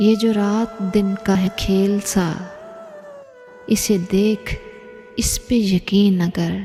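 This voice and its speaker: Soft-spoken with a gentle tone, a woman talks in monotone, flat intonation as music plays in the background. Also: medium pitch for a woman. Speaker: poetry reciter. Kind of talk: poetry reading. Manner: soft, gentle pace; emotional.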